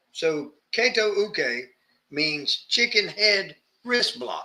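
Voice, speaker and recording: A man with a Southern accent uses a raised, projected voice, high in pitch and bright and sharp in tone. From US South. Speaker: martial arts instructor. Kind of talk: casual instructional chat.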